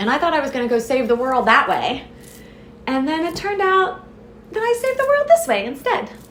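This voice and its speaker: Amid noticeable background noise and audible room echo, a woman with an American accent speaks at a high pitch and a fairly quick pace, with very wide pitch swings. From US South, southwest Florida. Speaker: business founder. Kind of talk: podcast interview.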